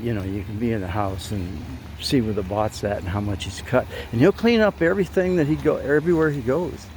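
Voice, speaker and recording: A man at a moderate pace with very wide pitch swings, noticeable background noise behind him. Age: 80s+. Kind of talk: casual product review to camera. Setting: outdoors. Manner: casual, chatty, hesitant.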